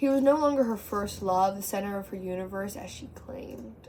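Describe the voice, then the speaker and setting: The woman's voice has a dark, mellow tone at medium pitch. Her pitch varies in an ordinary way. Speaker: amateur poet. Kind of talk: poetry reading. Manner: stutter.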